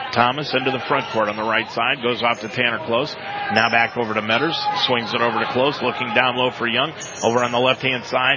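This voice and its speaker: Amid noticeable background noise, a man with a medium-pitched voice speaks at a fairly quick pace with fairly even intonation. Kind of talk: live play-by-play basketball commentary. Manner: rapid-fire, fluent, rhythmic play-by-play delivery.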